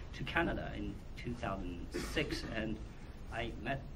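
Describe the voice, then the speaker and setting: The man speaks in a Chinese accent at a fairly slow pace. Room echo is audible. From China, Wuhan. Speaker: documentary filmmaker. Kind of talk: Q&A at film screening. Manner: halting.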